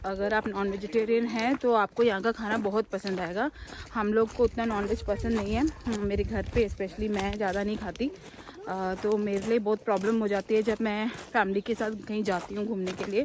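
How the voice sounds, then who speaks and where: Over noticeable background noise, a woman speaks at a medium pitch with a monotone, flat intonation. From Malayali raised in north India (Delhi). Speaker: travel vlogger. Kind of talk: casual travel vlog, code-switching Malayalam, English, Hindi. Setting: outdoors hiking in the mountains.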